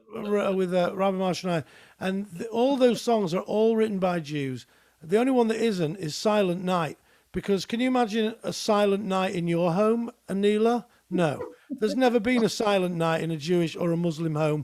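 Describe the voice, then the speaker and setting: A man with a British accent, high-pitched for a man, at a moderate pace and with ordinary pitch variation. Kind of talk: casual chat. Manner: animated.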